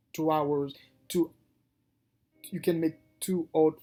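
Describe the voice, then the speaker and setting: With a non-native accent, a man speaks at a fairly slow pace, his pitch fairly high and his intonation fairly even. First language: not English. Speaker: day trader and video creator. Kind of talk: casual tutorial. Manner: halting, with frequent restarts.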